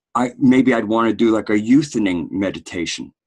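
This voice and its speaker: It is an unremarkable speaking voice at a moderate pace. The sound is dry and close, with no echo. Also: man. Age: 60s. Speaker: podcast host. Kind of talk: casual discussion.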